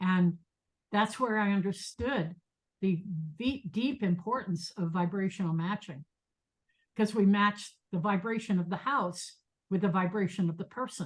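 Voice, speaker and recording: With long, frequent pauses, a somewhat breathy woman speaks at a fairly slow pace. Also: medium pitch for a woman, ordinary pitch variation. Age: 70s. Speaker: meditation teacher and professor. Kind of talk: lecture. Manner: halting.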